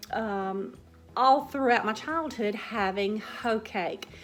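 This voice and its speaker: A woman with an American accent and fairly high pitch, speaking at a very slow pace with ordinary pitch variation, music in the background. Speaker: cooking vlogger. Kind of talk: casual chat. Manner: hesitant, with fillers.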